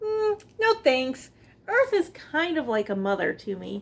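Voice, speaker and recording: A woman uses a squeaky, put-on character voice pitched high. Her pitch swings very widely at a fairly slow pace. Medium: read story.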